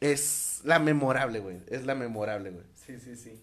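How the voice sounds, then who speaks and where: A man speaks at a moderate pace. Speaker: podcast host. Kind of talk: casual chat. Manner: animated.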